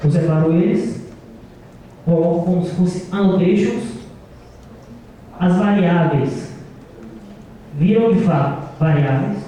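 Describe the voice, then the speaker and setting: A man speaks at a very slow pace and a high pitch, with ordinary pitch variation and long, frequent pauses. Audible room echo and noticeable background noise come through in the recording. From Brazil, Brasília. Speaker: conference speaker, software developer. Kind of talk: conference talk.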